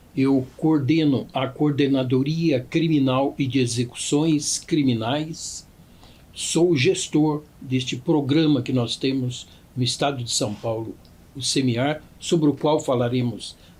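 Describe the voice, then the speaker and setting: The speaker talks at a very slow pace, somewhat breathy, with fairly even intonation. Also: man, fairly high pitch for a man. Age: 60s. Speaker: judge. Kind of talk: podcast interview, formal explanation. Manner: formal.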